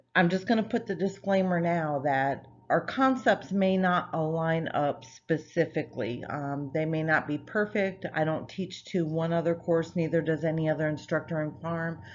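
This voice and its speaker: Speaking at a moderate pace with hardly any pauses, a woman has a plain, everyday voice, fairly low in pitch, with ordinary pitch variation. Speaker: nursing professor. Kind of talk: lecture. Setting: recorded online course video.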